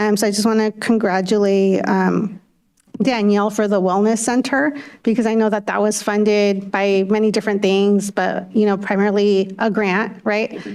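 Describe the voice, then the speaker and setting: A woman's medium-pitched voice, monotone and flat, at a moderate pace with very even loudness. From California, Windsor area; Spanish-speaking immigrant family. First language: Spanish. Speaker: school board member. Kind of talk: public meeting remarks. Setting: school board meeting. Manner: halting, many fillers.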